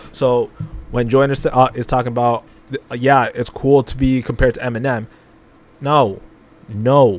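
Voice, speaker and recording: Noticeable background noise sits behind a man speaking at a medium pitch. He keeps a moderate pace and a monotone, flat intonation. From Canada, Toronto. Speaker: music reaction youtuber. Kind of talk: casual reaction commentary.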